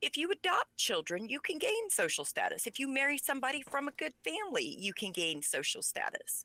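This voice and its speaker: Close and dry with no echo, a woman's raised, projected voice sounds bright and sharp at a high pitch, moving quickly with very wide pitch swings. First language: Pennsylvania Dutch. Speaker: author. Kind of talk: interview.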